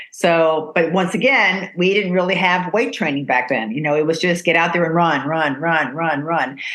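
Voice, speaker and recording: At a moderate pace with hardly any pauses, the speaker keeps a very even loudness and ordinary pitch variation, with audible room echo and noticeable background noise. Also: woman, fairly low pitch for a woman. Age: 60s. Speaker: podcast host. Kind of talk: casual chat.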